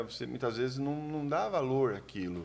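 The speaker is a man. He talks at a moderate pace. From Brazil, São Paulo state countryside. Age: 50s. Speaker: shoe distributor and entrepreneur. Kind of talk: casual chat. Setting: studio.

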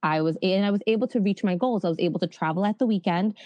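A woman speaks in a New York accent. The sound is dry and close with no echo, over a quiet background. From New York City. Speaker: internship program founder. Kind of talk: interview.

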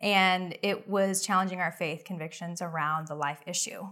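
A woman with an American accent talks in a plain, everyday voice with fairly even intonation. The recording is very clean, with a silent background. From Oklahoma. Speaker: pro-life ministry leader and adoptive mother. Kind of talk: interview.

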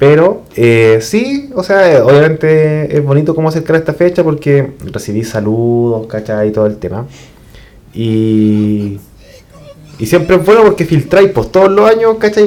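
Amid noticeable background noise, a man with a Chilean accent speaks at a fairly slow pace, his fairly high pitch swinging very widely. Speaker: podcast host. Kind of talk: casual chat.

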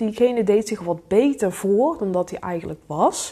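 A woman speaks at a fairly slow pace in a dark, mellow, somewhat breathy voice, her fairly high pitch sweeping through very wide swings against a quiet background. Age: 20s. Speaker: life coach. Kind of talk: solo podcast monologue.

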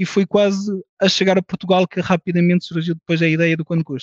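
A man speaks at a high pitch and a fairly quick pace. His intonation stays fairly even. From France, Portuguese parents. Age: 40s. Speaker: tech company CEO. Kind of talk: interview.

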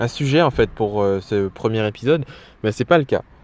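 A man's voice with ordinary pitch variation. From Guadeloupe. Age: 20s. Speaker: web developer and podcaster. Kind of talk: casual solo monologue. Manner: hesitant, many fillers.

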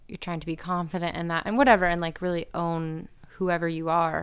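Over a very clean recording with a silent background, a woman speaks in a plain, everyday voice at a fairly low pitch, with fairly even intonation and a moderate pace. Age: 30s. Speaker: singer. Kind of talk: casual chat.

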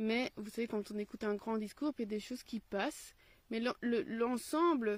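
A woman speaks at a moderate pace in a fairly high, somewhat breathy voice. Her pitch varies in an ordinary way. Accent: Belgian. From Belgium. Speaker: teacher and video blogger on philosophy. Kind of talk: solo video commentary. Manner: hesitant, with frequent fillers.

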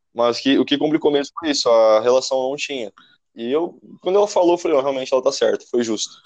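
At a very fast pace, a man talks in a fairly high pitch with ordinary variation. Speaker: former student. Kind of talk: casual chat. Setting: call via app.

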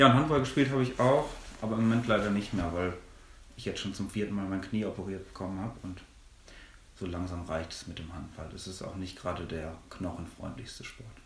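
A man's fairly low voice at a fairly quick pace, with big swings in loudness and audible room echo. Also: ordinary pitch variation. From Germany, Minden-Lübbecke district (East Westphalia). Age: 20s. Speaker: theology student. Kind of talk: podcast interview.

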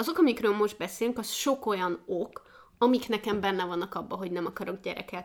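This woman has a normal speaking voice at medium pitch. She talks at a fairly quick pace with ordinary pitch variation. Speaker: podcast co-host. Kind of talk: casual chat.

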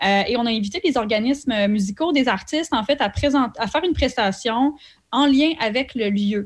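In an ordinary speaking voice, a woman with a fairly high pitch talks at a moderate pace with lively intonation and very even loudness, on a very clean recording with a silent background. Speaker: cultural events producer. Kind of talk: radio interview.

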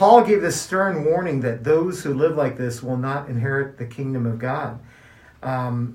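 Speaking fairly slowly with an American accent, a man uses a fairly high, somewhat breathy voice and lively intonation, with audible room echo around him. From US Midwest, Kansas City, Missouri. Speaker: podcast co-host. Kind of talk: casual chat.

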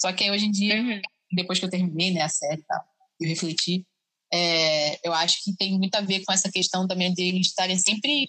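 This woman talks at a fairly quick pace with a bright, sharp tone. Her loudness stays very even, and her intonation is fairly even too. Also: medium pitch for a woman. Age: 20s. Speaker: biomedicine student. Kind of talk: casual chat. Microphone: audio problems.

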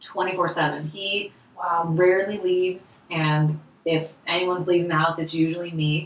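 Over noticeable background noise, a woman speaks at a fairly low pitch and fairly slow pace with monotone, flat intonation. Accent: American. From California. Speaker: essential oils business owner. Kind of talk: casual chat. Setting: roundtable recorded in person.

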